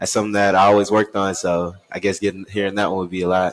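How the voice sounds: A man talks at a fast pace. His pitch is low and shows little movement.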